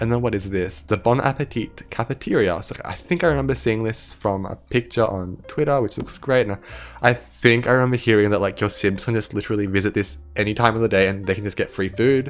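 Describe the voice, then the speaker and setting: Fairly quick, lively speech from a man with a fairly low pitch and hardly any pauses. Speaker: gaming youtuber. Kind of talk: gameplay commentary. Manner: fast; animated.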